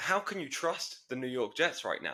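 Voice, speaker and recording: Speaking with a British accent, a man has a bright, sharp tone, lively intonation, and a fairly quick pace. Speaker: podcast co-host. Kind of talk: casual sports chat.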